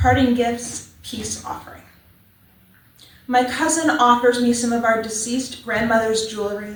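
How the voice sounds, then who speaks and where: A soft-spoken woman with an American accent talks at a moderate pace in a fairly high pitch with fairly even intonation. Noticeable background noise runs underneath. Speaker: poet. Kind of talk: poetry reading. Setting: church open mic with audience.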